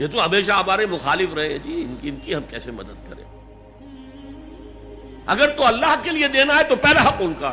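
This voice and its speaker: A man's raised, projected voice, high in pitch, with very wide pitch swings and big swings in loudness over music in the background. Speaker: Islamic scholar giving a lecture. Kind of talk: Islamic sermon / lecture (bayan). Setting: recorded lecture to an audience. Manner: emotional, earnest, emphatic.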